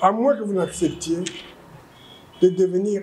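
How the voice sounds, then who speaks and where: Here a man talks at a fairly slow pace. His voice is high-pitched with a dark, mellow tone. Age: 70s. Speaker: politician. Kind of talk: political speech. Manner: emphatic, repetitive.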